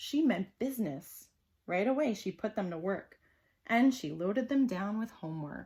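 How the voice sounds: Over a quiet background, a natural reading voice moves with lively intonation.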